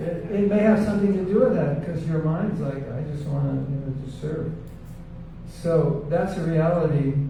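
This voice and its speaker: The speech has ordinary pitch variation, with audible room echo and noticeable background noise. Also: man. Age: 70s. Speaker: panelist and spiritual teacher. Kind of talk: panel discussion.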